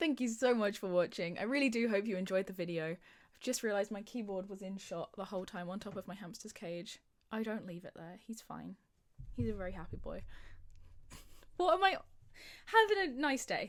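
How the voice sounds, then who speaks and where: A woman with a British accent speaks at a medium pitch, her pitch varying in an ordinary way while her loudness swings widely. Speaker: gaming youtuber. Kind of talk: casual gameplay commentary. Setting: home recording. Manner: fast; animated.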